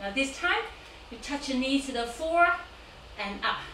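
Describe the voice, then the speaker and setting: A woman speaks very slowly in a raised, projected voice, with audible room echo and light background noise. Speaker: yoga teacher. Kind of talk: class instruction, counting. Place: home room. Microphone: camera far.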